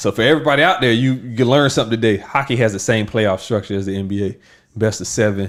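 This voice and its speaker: In a Southern US accent, a man talks in an animated tone at medium pitch with ordinary pitch variation, captured in a very clean recording against a silent background. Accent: Southern drawl. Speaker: podcast co-host. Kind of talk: casual chat.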